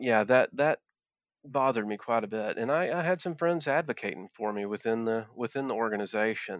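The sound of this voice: At a moderate pace and medium pitch, this man talks with lively intonation. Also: dry, close sound with no echo.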